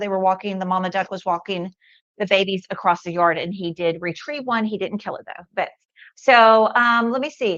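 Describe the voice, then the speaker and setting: In a normal speaking voice, a woman talks at medium pitch and a moderate pace with ordinary pitch variation. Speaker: product demo livestream host. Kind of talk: live product demo with chat Q&A. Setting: livestream. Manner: casual, many fillers.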